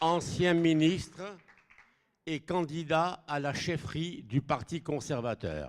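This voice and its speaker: At a very slow speed, the voice rises and falls in pitch in a normal way. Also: man. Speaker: event moderator. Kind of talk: event introductions.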